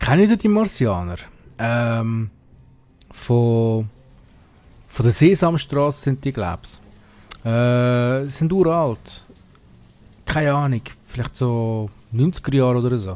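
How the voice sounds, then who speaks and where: A man speaks very slowly in a Swiss German accent with lively intonation. He leaves long, frequent pauses. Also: medium pitch for a man. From Switzerland. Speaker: let's play gamer. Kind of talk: casual gameplay commentary.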